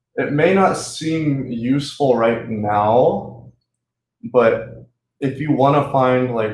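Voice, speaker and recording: A man with an American accent talks at a very slow pace in a medium pitch, with ordinary pitch variation. Room echo can be heard. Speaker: student tutor. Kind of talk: tutorial. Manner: animated; casual.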